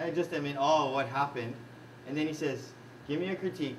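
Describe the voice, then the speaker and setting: Noticeable background noise and audible room echo surround a man speaking in a Hawaiian accent with ordinary pitch variation. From Hawaii, Kaneohe. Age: 40s. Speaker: coach and trainer. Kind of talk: workshop talk. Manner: animated.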